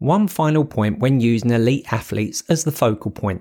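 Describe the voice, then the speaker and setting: A plain, everyday voice from a man, medium in pitch, at a moderate pace with lively intonation, on a very clean recording with a silent background. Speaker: audiobook author-narrator, fitness coach. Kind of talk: audiobook reading of a self-help book. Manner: conversational, motivational, warm.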